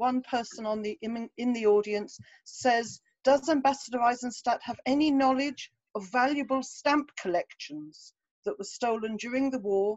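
Recorded dry with no echo against a quiet background, a woman speaks at a high pitch and a moderate pace with an English accent. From England. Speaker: moderator. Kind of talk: Q&A moderation.

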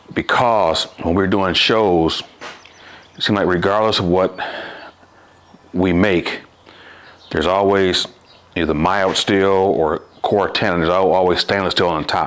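A man's very deep, low voice at a fairly slow pace, with long, frequent pauses, very even loudness and monotone, flat intonation. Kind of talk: tutorial. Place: workshop.

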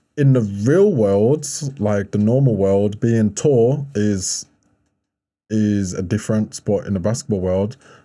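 Against a quiet background, a man with a dark, mellow tone speaks fairly slowly in a fairly low pitch, with ordinary pitch variation. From Birmingham, England. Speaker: professional basketball player and model; podcast guest. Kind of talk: casual interview chat. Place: studio. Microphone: studio mic.

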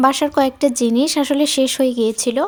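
A woman speaks with a high pitch. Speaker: home cooking vlogger. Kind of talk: daily vlog cooking narration. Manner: chatty, warm.

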